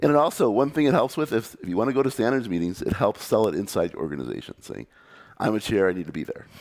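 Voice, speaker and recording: The speaker has an American accent and vocal fry. The pace is very fast, with very wide pitch swings. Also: man, medium pitch for a man. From United States. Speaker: computer scientist and conference speaker. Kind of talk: conference talk. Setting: meetup stage with audience.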